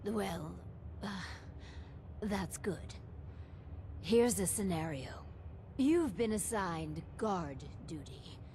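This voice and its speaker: Delivered at a fairly slow pace, the put-on character voice has long, frequent pauses and clear background noise. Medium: video game. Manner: formal, polite, measured.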